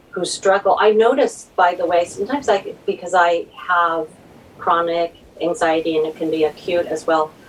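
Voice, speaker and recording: A woman speaks at a fairly low pitch with ordinary pitch variation. Noticeable background noise is present. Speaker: novelist. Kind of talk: casual chat. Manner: slow.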